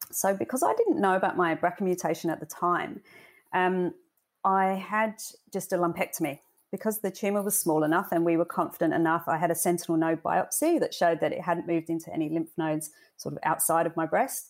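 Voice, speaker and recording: Speaking at a fairly quick pace, a woman with a fairly low pitch and ordinary pitch variation comes through on a very clean recording with a silent background. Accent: British. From UK. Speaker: cancer survivor and charity volunteer. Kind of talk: interview. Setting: podcast. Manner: hesitant with frequent fillers.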